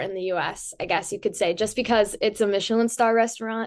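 A woman talks at a fairly quick pace in a fairly high voice with ordinary pitch variation. It is a normal speaking voice. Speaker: student podcast host. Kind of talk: interview.

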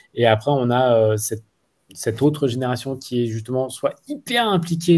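A man with a dark, mellow tone speaks at medium pitch and a moderate pace with ordinary pitch variation, in a very clean recording with a silent background. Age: 40s. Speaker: school director, former entrepreneur. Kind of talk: interview. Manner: halting.

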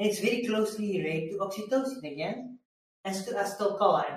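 In a Belgian accent, a man talks at a fairly quick pace. Audible room echo can be heard. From Belgium. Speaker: mindset coach. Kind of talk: interview conversation.

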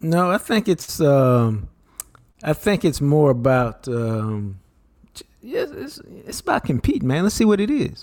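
Fairly slow and fairly high for a man, his voice has very wide pitch swings and big swings in loudness. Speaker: co-host, sports commentator. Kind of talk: casual chat.

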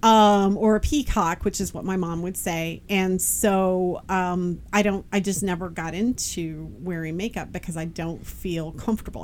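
Her pitch medium and its variation ordinary, a woman talks at a moderate speed. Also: hardly any pauses. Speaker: podcast co-host. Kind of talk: casual chat. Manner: loud.

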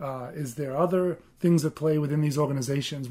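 With an Australian accent, a man talks at a fairly quick pace in a fairly high pitch, his somewhat breathy voice dark and mellow in tone. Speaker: podcast co-host. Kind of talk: casual podcast chat.

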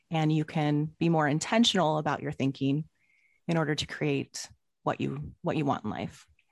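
A woman's very deep, low voice carries vocal fry and ordinary pitch variation, moving at a moderate pace over a quiet background. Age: 40s. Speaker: life coach. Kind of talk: casual interview chat.

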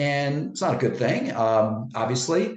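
A man with a somewhat breathy voice talks at a moderate speed, his pitch moving in an ordinary way. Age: 60s. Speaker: personal trainer and author. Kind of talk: interview. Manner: halting, many fillers and repeats.

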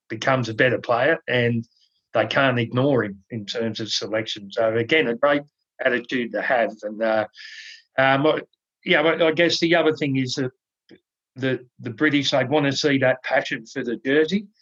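Dry and close with no echo, the recording carries a voice with an Australian accent at a moderate pace with ordinary pitch variation. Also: man. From Australia, NSW South Coast. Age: 40s. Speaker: podcast host, rugby league commentator. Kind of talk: casual chat.

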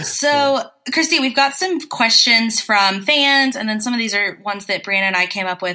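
Lively in intonation and at a moderate pace, a woman with an American accent talks in a fairly high pitch, an unremarkable speaking voice. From US South. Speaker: podcast co-host. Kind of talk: casual chat.

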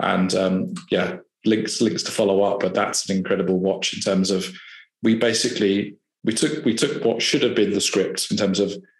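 A man with a southern English accent speaks at a moderate pace in a fairly low pitch, with audible room echo around him. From southern England (Hampshire). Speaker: IT services consultant. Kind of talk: casual interview.

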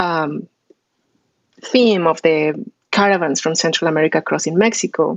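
The woman's pace is fairly slow. Her pitch shows ordinary variation. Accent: Spanish. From Colombia, Bogota. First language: Spanish. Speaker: political science professor. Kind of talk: interview.

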